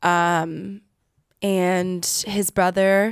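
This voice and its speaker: A woman with a Californian accent is heard on a very clean recording with a silent background and a dry, close sound with no echo. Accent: Californian American English. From US West Coast, San Diego, California. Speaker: singer. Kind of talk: interview.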